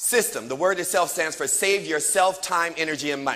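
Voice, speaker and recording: A man speaks in a bright, sharp tone at a fairly quick pace. His delivery is animated. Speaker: motivational speaker. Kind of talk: motivational speech. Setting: stage with audience. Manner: fast.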